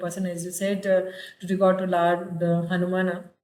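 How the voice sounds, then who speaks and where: In an Indian accent, a woman speaks at a medium pitch with monotone, flat intonation, and room echo is audible. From Hindi-speaking northern India. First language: Hindi. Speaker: university public relations officer, host. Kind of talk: interview conversation. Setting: video call. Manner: hesitant, many fillers.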